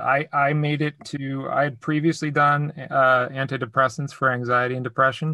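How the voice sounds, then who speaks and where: A man with a fairly high voice and a bright, sharp tone speaks at a moderate pace in a monotone, flat intonation. He makes hardly any pauses, and the recording is very clean with a silent background. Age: 40s. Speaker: podcast host. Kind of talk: podcast interview.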